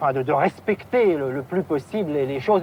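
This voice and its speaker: The speaker's pitch swings very widely while noticeable background noise runs underneath. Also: man. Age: 30s. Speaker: taxi driver. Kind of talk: archival TV interview answer. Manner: hesitant, casual.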